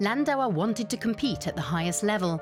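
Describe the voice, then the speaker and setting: Very wide pitch swings at a moderate pace, with a British accent and music in the background. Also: woman. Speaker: voice artist. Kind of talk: TV documentary narration.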